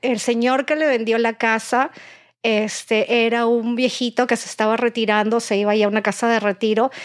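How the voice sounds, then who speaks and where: A woman's fairly high voice at a moderate pace, in monotone, flat intonation. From Peru. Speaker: real estate broker. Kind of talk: casual chat.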